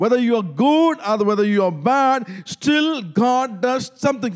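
With a Tamil accent, a man talks at a moderate pace in an extremely high pitch, his tone animated and his intonation lively. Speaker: pastor. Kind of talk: sermon. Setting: church.

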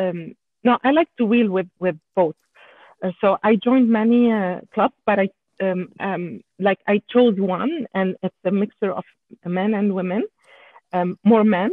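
A woman with a French accent and medium pitch, at a fairly slow pace with long, frequent pauses. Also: ordinary pitch variation. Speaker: off-road enthusiast and engineer. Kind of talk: interview. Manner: halting.

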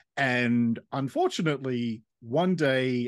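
Lively intonation marks this man's speech in an Australian accent over a quiet background. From Australia, Western Sydney. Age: 40s. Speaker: counsellor and podcaster. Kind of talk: casual interview.

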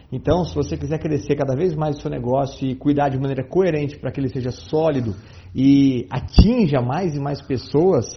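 A man's fairly high, somewhat breathy voice at a moderate pace. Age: 40s. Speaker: sales and marketing consultant. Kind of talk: interview.

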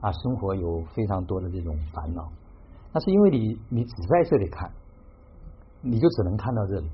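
Pausing often and at length, a man with a fairly low pitch talks at a moderate pace, somewhat breathy and with lively intonation. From Hubei, Xiangyang. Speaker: tea gathering host. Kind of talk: reflective talk.

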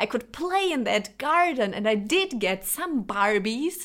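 A woman at a fairly slow pace with very wide pitch swings, in a very clean recording with a silent background. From Germany. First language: Lithuanian and Russian. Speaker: podcaster. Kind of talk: personal monologue.

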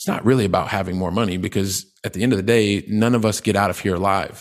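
A man with an American accent has an ordinary speaking voice and ordinary pitch variation. He speaks at a fairly quick pace on a very clean recording with a silent background. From US Midwest and South (Ohio, Colorado, Texas). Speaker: real estate investor. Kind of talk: interview.

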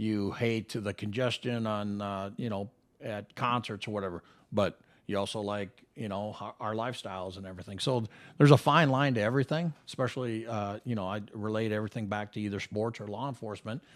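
A normal speaking voice with an American accent. The intonation stays fairly even. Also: man, fairly low pitch for a man. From Minnesota. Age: 50s. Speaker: retired police officer. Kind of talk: casual interview chat.

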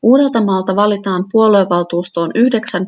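This woman has an unremarkable speaking voice at a medium pitch. Her intonation stays fairly even. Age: 40s. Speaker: local politician. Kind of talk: reading aloud.

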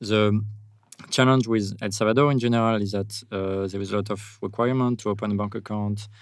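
A man with a fairly low voice speaks at a fairly quick pace with a French accent and a monotone, flat intonation. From France. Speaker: software developer. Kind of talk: casual interview. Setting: on location in El Salvador.

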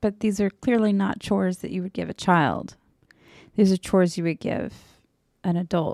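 A woman's medium-pitched voice with an American accent, dark and mellow in tone, at a moderate pace with long, frequent pauses, on a very clean recording with a silent background and a dry, close sound with no echo. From US South. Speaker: podcast co-host. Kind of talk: casual chat. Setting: live stream.

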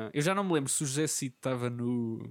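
A man talks at a fairly quick pace. The recording is very clean and silent in the background, with a dry, close sound and no echo. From Portugal, Covilhã area (Beira Interior). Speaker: podcast host. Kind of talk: casual chat.

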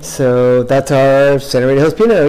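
A man speaks fairly slowly while noticeable background noise continues around him. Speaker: winemaker. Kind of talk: interview during wine tasting. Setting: tasting room.

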